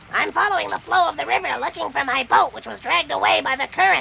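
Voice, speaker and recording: A cartoonish character voice pitched high. It races along at a very fast pace over clear background noise. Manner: polite.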